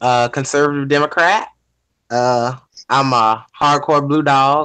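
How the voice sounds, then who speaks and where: In a Southern US accent, the words come at a fairly slow pace. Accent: Southern US, noticeable. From US South, Georgia. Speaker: panelist. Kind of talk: casual panel discussion.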